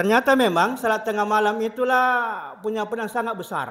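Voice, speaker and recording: A man talks at a moderate pace, captured in a very clean recording against a silent background. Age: 60s. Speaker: Islamic preacher. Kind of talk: sermon.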